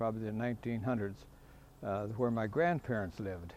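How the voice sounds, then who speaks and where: A man talks in an Upper Midwest accent. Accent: Upper Midwest (Minnesota). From Minnesota, Fergus Falls. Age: 80s+. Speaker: retired farmer and anniversary celebrant. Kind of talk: casual reminiscence tour. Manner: halting with many fillers.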